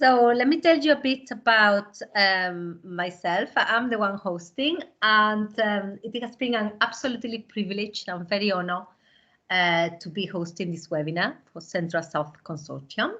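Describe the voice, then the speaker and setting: In a Spanish accent, a woman speaks at medium pitch with a bright, sharp tone and lively intonation. Her pace is moderate, and the background is quiet. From southern Spain. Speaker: language teacher and webinar host. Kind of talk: webinar presentation.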